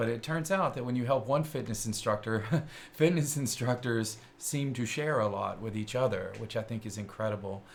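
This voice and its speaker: A somewhat breathy male voice with a slight Kentucky accent, medium pitch, ordinary pitch variation and a moderate pace. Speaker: tech show host. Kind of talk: live-streamed show chat. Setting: studio. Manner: hesitant with many fillers.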